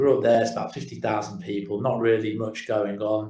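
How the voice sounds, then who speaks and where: In a British accent, a man speaks at a medium pitch with a somewhat breathy voice. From English Midlands, Kidderminster. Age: 40s. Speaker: digital marketing agency owner. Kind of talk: interview storytelling. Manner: halting, repeats words.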